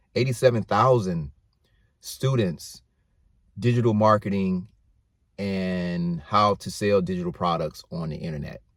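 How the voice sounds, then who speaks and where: With an American accent, a man at fairly low pitch speaks at a fairly slow pace, leaving long, frequent pauses, with ordinary pitch variation and big swings in loudness. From US South, Atlanta, Georgia. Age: 50s. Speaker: YouTuber. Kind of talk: casual vlog monologue.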